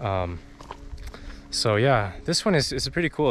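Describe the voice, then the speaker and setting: Light background noise behind a man's dry, echo-free voice. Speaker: hiking vlogger. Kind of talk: casual vlog chat. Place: open country. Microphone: phone near.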